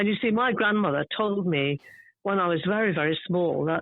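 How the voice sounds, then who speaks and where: At a fairly quick pace, a woman speaks with medium pitch and ordinary pitch variation. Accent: southern English. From southern England (suburban London). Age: 70s. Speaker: garden writer. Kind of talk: interview.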